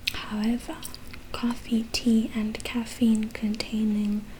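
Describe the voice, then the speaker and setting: A soft-spoken woman's voice, fairly high in pitch, very slow and monotone, with noticeable background noise. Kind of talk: ASMR book reading. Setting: chewing gum while speaking. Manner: soft-spoken, slow.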